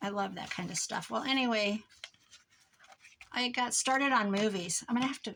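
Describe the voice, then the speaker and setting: A woman mumbles at a fairly high pitch. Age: old. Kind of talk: crafting tutorial with casual chat. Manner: mumbling.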